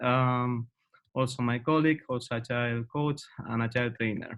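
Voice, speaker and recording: In a Spanish accent, a man speaks at a moderate pace with fairly even intonation. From Spain, Madrid. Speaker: agile coach and trainer. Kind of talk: webinar introduction. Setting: online webinar. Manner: hesitant, many fillers.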